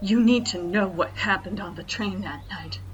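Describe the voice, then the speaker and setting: A female-sounding voice performs a put-on character voice at a moderate pace. Clear background noise runs underneath. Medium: audio drama.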